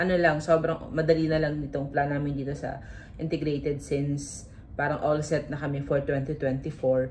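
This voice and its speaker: In a very deep, low voice, a woman speaks somewhat breathily at a moderate pace with monotone, flat intonation and audible room echo. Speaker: vlogger and business owner. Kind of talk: vlog talk to camera. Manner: talkative.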